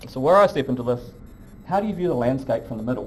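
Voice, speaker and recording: In a room with audible echo, a man with a New Zealand accent speaks at a medium pitch with lively intonation. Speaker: professor. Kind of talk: lecture. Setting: lecture hall with audience.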